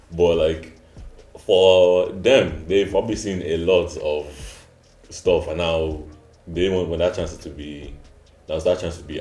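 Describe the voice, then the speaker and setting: Amid audible room echo, a man talks at a moderate pace with big swings in loudness. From Nigeria. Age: 20s. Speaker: student. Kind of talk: casual discussion.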